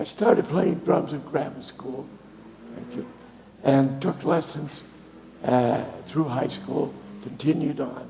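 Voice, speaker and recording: A man with an American accent at a very slow pace, long, frequent pauses, audible room echo and noticeable background noise. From Boston, New England. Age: 80s+. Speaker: guest speaker, retired musician and sailor. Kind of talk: talk to a congregation. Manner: halting, many fillers.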